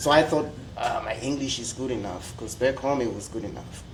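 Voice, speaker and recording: Noticeable background noise and audible room echo surround a speaker with a strong Zimbabwean accent, talking at a moderate pace with ordinary pitch variation. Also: man. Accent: Zimbabwean, strong rolled R. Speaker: international student. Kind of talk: panel discussion.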